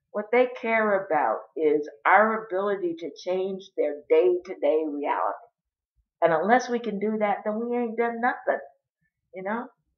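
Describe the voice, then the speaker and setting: A woman speaks fairly slowly. Her pitch is medium, with ordinary variation. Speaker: mental health advocate. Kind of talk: personal video monologue. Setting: home, dining room table. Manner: loud and bold; passionate, animated.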